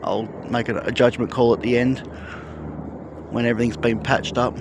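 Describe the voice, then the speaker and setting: A man with an Australian accent at a medium pitch and a fairly quick pace, against noticeable background noise. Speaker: construction progress vlogger. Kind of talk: casual walking vlog narration. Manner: soft-spoken; hesitant, with fillers.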